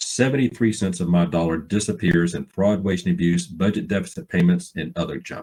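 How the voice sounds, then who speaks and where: Speaking at a fairly quick pace with hardly any pauses, a man uses a very deep, low pitch, a dark, mellow tone and ordinary pitch variation. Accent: Alabama. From Alabama. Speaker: financial planning speaker, author. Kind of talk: seminar talk. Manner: folksy, informal.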